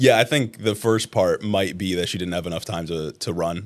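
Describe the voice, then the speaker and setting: With an ordinary speaking voice, a man talks at a moderate pace, his fairly low pitch showing ordinary variation. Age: 20s. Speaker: podcast host. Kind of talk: interview. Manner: casual, filler-heavy.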